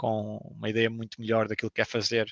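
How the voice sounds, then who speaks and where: A man's medium-pitched voice at a fairly quick pace, dry and close with no echo. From Portugal. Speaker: video game professional. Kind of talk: interview. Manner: hesitant, many fillers.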